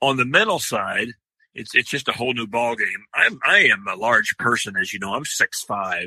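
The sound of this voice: Lively in intonation, a man talks with a bright, sharp tone and a slightly husky edge, the sound dry and close with no echo. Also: medium pitch for a man, moderate pace.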